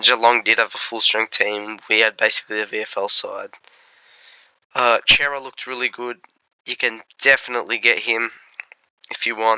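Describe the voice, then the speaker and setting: This man speaks with an Australian accent. His intonation is monotone and flat, with long, frequent pauses. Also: medium pitch for a man, moderate pace, big swings in loudness. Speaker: fantasy football content creator. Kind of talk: casual commentary video. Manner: casual, hesitant.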